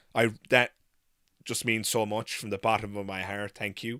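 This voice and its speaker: A man with an Irish accent and a bright, sharp tone, at a moderate pace, in a very clean recording with a silent background. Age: 30s. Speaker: YouTuber, atheist commentator. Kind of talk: live stream Q&A. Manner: halting, many fillers.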